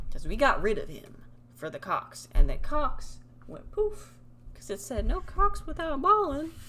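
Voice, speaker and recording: The woman talks at a fairly slow pace. Audible room echo follows her words. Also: big swings in loudness. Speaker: streamer. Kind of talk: casual live stream chat. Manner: animated.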